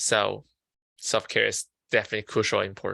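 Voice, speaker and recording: A man speaks with a Chinese accent. The recording is very clean with a silent background, and the sound is dry and close with no echo. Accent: Mandarin Chinese. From China (Beijing). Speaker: student peer counselor presenting on mental health. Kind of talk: lecture. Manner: halting.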